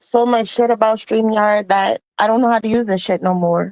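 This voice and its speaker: Fairly high in pitch, a woman speaks with a Caribbean accent, the sound dry and close with no echo. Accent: Caribbean island. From Guyanese Creole family, Guyana and Louisiana ties. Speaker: livestream guest. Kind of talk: casual chat.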